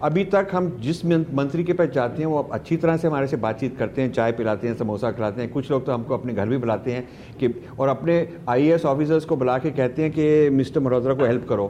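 With hardly any pauses, a man of medium pitch speaks at a moderate pace and ordinary pitch variation over noticeable background noise. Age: 60s. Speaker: author and foundation head. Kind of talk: conversational interview.

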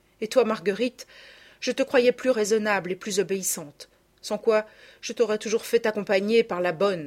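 A natural voice reads the text aloud.

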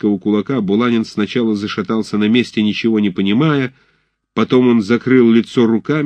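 Quiet surroundings behind a natural reading voice.

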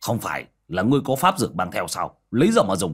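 On a very clean recording, silent background, a man races along in a put-on character voice, low-pitched with a slightly husky edge, a fairly bright tone and very wide pitch swings.

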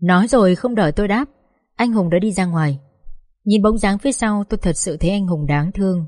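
The clip holds plain reading aloud over a quiet background.

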